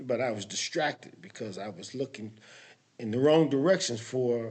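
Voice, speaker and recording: A man's medium-pitched voice at a moderate pace, with lively intonation and big swings in loudness. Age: 60s. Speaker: motivational talk host. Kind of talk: casual motivational monologue. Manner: halting, many fillers and restarts.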